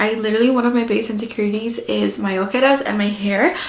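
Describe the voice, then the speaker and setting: A woman at a very fast pace and fairly high pitch, with audible room echo and noticeable background noise. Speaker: mom vlogger. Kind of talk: casual vlog chat.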